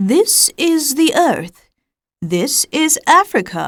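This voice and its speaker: A woman uses a put-on character voice pitched high. She talks at a very slow pace. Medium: read story. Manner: calm, cryptic, speaks in riddles.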